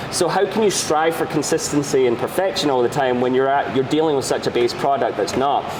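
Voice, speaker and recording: Over noticeable background noise, the speaker talks in a Scottish accent at a fairly quick pace with hardly any pauses, very even loudness and ordinary pitch variation. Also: man, fairly high pitch for a man. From Scotland. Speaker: bar owner, bartender. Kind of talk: interview answer.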